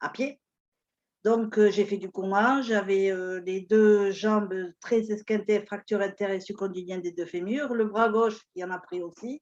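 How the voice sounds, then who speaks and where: A woman with an unremarkable speaking voice, medium pitch and a fairly slow pace. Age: 60s. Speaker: retiree, fitness client. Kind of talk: testimony.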